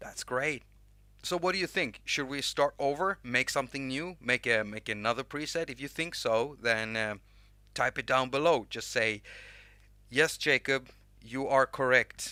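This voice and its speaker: A man speaks in a Swedish accent with a bright, sharp tone, at a moderate pace with ordinary pitch variation. The recording is very clean, with a silent background and a dry, close sound with no echo. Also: medium pitch for a man. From Sweden. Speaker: music app YouTuber. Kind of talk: live stream tutorial chat. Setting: live stream with chat. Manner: casual, halting with restarts.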